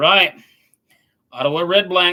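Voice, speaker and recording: In a Southern US accent, a man speaks with a bright, sharp tone and ordinary pitch variation. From US South. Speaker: sports commentator. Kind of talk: live stream commentary. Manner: casual, chatty.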